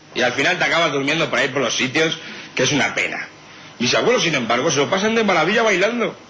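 Animated and very fast, a man talks with very wide pitch swings, amid noticeable background noise and audible room echo. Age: young. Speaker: radio comedy contributor. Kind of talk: comedy monologue.

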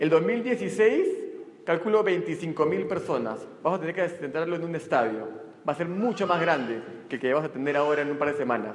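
With an animated tone, a man speaks at a moderate pace in a fairly high pitch with very wide pitch swings, amid noticeable background noise and audible room echo. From not from Arequipa, Peru; father was from there. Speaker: multilevel marketing speaker. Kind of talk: motivational talk. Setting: stage with audience.

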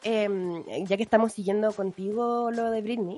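At a moderate pace, a woman with a fairly high pitch speaks over noticeable background noise. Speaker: radio podcast host. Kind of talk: casual chat.

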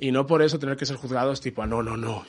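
Using a plain, everyday voice, a man speaks at medium pitch with ordinary pitch variation. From Galicia, Spain. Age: 30s. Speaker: advertising creative. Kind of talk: casual chat. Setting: studio.

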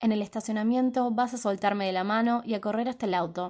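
A woman's fairly high pitch, dark, mellow tone and fairly even intonation at a fairly quick pace, over a quiet background. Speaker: podcast host. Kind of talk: reading aloud.

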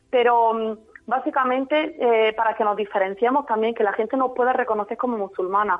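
A woman with an unremarkable speaking voice talks at a fairly quick pace and a fairly high pitch, her loudness very even. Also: fairly even intonation. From Spain, Jaén (Andalusia). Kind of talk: radio interview.

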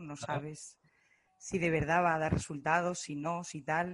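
In a normal speaking voice, a woman talks at a fairly slow pace and a fairly low pitch with fairly even intonation. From Spain, Zaragoza. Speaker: digital marketing student. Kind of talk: group interview.

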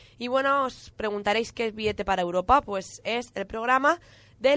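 Against a quiet background, a woman speaks at a moderate pace in a plain, everyday voice that is fairly high, with ordinary pitch variation. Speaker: radio host. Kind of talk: casual radio chat.

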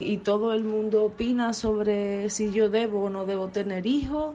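This is an unremarkable speaking voice, its intonation fairly even and its pace moderate. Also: woman. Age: 30s. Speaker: listener sending voice message. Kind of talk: personal testimony.

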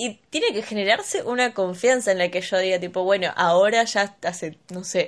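A woman with a Rioplatense accent and fairly even intonation, over a quiet background. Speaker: podcast co-host. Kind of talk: casual chat.

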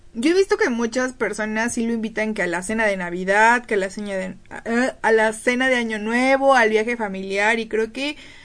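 Hardly pausing, a woman with a fairly high pitch speaks at a moderate pace with ordinary pitch variation. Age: 20s. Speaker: podcast co-host. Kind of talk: casual chat.

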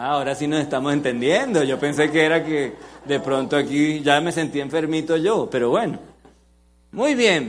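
In a room with audible echo, a man with a fairly high pitch talks at a moderate pace with ordinary pitch variation. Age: 40s. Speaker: pastor. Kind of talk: sermon. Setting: church with live congregation. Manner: interactive, engaging the audience.

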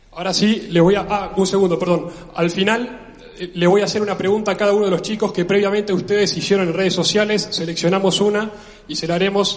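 Over noticeable background noise and audible room echo, a man talks very fast in a high pitch with fairly even intonation. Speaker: event organizer. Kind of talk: event announcements. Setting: stage with audience.

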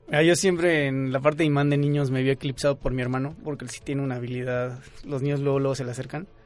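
A man's fairly high-pitched voice at a very fast pace, fairly even in intonation, over noticeable background noise. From Mexico, Querétaro. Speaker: pedagogy student. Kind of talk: casual chat. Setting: studio.

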